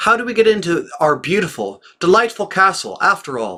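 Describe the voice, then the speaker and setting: Raised, projected male voice, high in pitch, with lively intonation at a moderate pace. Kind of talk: religious text reading.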